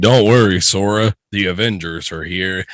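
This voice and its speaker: Using a put-on character voice, a man talks at a moderate pace with fairly even intonation and a fairly low pitch. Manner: heroic, reassuring.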